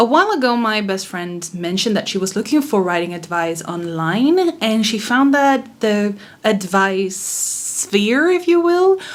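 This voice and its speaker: With a non-native accent, a woman talks at a fairly slow pace and a fairly high pitch, her voice making very wide pitch swings over noticeable background noise. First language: not English. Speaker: author. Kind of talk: casual talk to camera.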